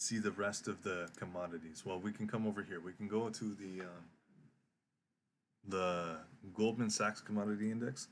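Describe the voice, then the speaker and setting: A man with a fairly low pitch speaks at a moderate pace with fairly even intonation. He leaves long, frequent pauses, and the background is quiet. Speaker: trading educator streamer. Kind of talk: live stream market analysis. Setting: live stream. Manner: halting, many fillers and repeats.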